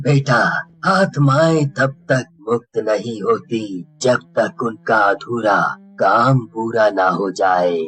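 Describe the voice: In a cartoonish character voice of medium pitch, a man speaks very slowly with hardly any pauses.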